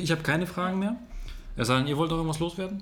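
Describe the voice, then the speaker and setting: A man speaks with music playing in the background. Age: 20s. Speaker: podcast host. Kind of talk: interview. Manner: animated.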